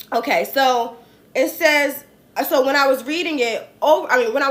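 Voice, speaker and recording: Lively intonation and an animated tone carry this voice with a New Jersey accent. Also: woman. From New Jersey, US. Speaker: political commentator livestreamer. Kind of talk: casual political commentary livestream. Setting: livestream.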